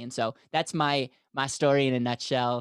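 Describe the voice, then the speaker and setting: On a very clean recording with a silent background, a man speaks with a dry, close sound and no echo. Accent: American. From US Midwest, Wisconsin. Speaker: financial advisor. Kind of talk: interview. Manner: animated.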